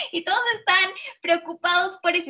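A woman speaks with a Mexican accent in an animated tone. Her pace is fairly slow. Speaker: radio show host. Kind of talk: radio interview and chat.

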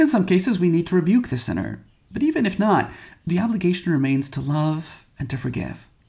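In a Midwestern American accent, a man talks at a fairly quick pace with lively intonation. His pitch is high and his tone dark and mellow. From Michigan. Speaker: priest. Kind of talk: homily.

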